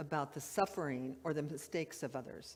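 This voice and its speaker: Her very deep, low-pitched voice moves at a fairly slow pace as this woman speaks. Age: 70s. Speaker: minister. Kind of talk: sermon. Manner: conversational.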